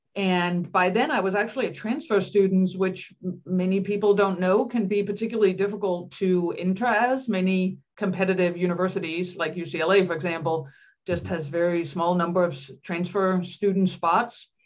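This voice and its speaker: A woman speaks with a Danish accent. Her pace is moderate, with ordinary pitch variation. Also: medium pitch for a woman. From Denmark. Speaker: psychology professor. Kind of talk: interview.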